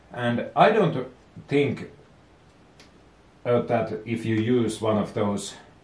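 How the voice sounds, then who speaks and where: Speaking very slowly with a Finnish accent, a man with a medium pitch sounds somewhat breathy against audible room echo. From Finland. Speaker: DIY boat and engine vlogger. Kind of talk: tutorial. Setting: home workshop. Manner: halting.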